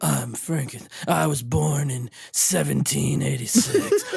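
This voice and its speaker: A put-on character voice moves at a fairly slow pace, pitched low-to-middle. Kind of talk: voiceover.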